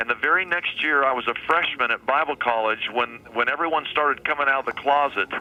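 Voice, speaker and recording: A fairly high-pitched man with a US Midwestern accent, talking at a very fast pace with hardly any pauses. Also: ordinary pitch variation. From Kansas, Wichita. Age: 50s. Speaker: pastor. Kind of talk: radio interview. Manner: animated.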